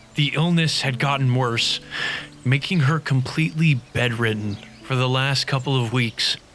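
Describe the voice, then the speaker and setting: Noticeable background noise sits behind a man at medium pitch. He keeps a moderate pace with very even loudness and ordinary pitch variation. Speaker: YouTuber and storyteller. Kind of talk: reading aloud. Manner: soft-spoken. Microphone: distant and quieter in the mix.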